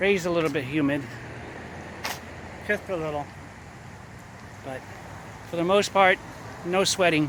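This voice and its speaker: A high-pitched man at a moderate pace, with ordinary pitch variation, long and frequent pauses, and noticeable background noise. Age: 60s. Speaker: vlogger. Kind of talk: casual vlog narration. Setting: outdoors. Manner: animated.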